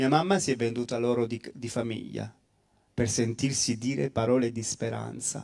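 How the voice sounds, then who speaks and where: The man's pace is moderate and his pitch variation is ordinary. Behind him, things stay quiet. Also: medium pitch for a man. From Calabria, Italy. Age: 40s. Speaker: priest; priest guest speaker. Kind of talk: testimony. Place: hall. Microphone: handheld.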